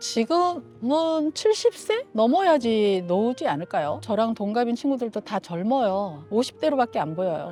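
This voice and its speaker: Music plays in the background. The voice swings very widely in pitch, with hardly any pauses. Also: woman, fairly high pitch for a woman, fairly slow pace. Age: 60s. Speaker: senior model instructor. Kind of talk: street interview answer. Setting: outdoors.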